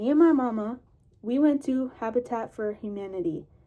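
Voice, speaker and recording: Her tone dark and mellow, a woman speaks at a fairly high pitch and a fairly slow pace. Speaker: YouTuber. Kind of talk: casual chat.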